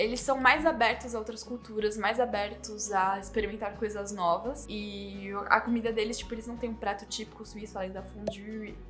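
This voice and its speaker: Over music in the background, a woman with a fairly high pitch speaks at a moderate pace with hardly any pauses, fairly even intonation, and big swings in loudness. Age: 20s. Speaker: YouTuber. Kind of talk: casual talk to camera.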